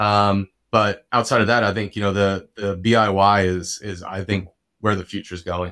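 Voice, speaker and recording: On a very clean recording with a silent background, a man with an American accent speaks in a fairly low, monotone, flat voice. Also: moderate pace. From New Jersey, Bergen County. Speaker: revenue operations director. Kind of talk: casual interview chat. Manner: halting, many fillers.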